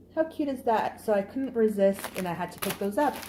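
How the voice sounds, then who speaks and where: Animated, fairly high-pitched speech from a woman with a Canadian accent, fairly slow, with lively intonation, over noticeable background noise. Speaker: haul vlogger. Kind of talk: product haul video.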